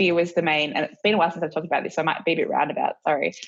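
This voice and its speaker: With an Australian accent, a woman is talking. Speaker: professional skier and film producer. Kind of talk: interview answer. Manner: casual, relaxed.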